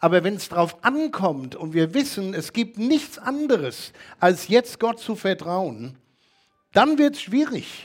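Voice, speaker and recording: This man talks at a very slow pace. Very wide swings mark his pitch. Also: very clean recording, silent background. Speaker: preacher. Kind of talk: sermon. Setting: church. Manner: earnest, teacherly, steady.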